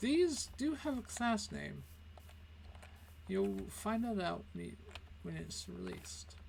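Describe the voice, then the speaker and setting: A man speaks at a very slow pace with long, frequent pauses, with audible room echo. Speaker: gaming video creator and comic artist. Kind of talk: build showcase tour. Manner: casual, with fillers.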